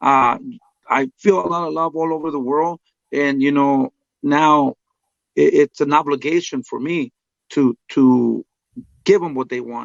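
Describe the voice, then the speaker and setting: A man with a Spanish accent, fairly high in pitch with ordinary pitch variation, at a fairly slow pace with long, frequent pauses. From Mexico. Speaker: boxing trainer. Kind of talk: interview.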